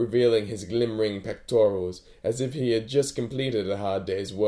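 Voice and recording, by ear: The speaker reads aloud in a natural voice, and the pitch moves in an ordinary way.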